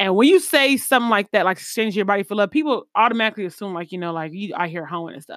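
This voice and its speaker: Recorded very cleanly against a silent background, an American accent comes through in a dry, close sound with no echo. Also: woman. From US East Coast, then Midwest. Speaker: podcast host. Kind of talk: casual monologue on live stream. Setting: recorded on Facebook Live. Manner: casual, filler-heavy.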